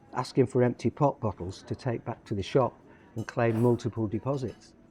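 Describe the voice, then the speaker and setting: The voice has a Lancashire accent, a dark, mellow tone and a somewhat breathy quality. It moves at a fairly quick pace with fairly even intonation. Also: man, medium pitch for a man, dry, close sound with no echo. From northern England, Lancashire (Blackpool, Lancaster). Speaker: poet and football fan. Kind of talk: reading aloud. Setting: cafe.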